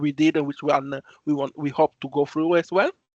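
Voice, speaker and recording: A man with an Italian accent speaks at a moderate pace, his pitch fairly high. The sound is dry and close with no echo, and the background is quiet. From Italy. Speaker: student volunteer. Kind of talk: online presentation. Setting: video call. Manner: halting.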